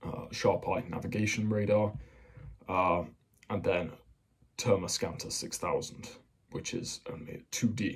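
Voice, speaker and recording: Quiet in volume, a man speaks at a fairly slow pace. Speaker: hobbyist explainer. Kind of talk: casual military explainer talk. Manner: monotonous; quiet, kept down. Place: home room. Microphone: phone near.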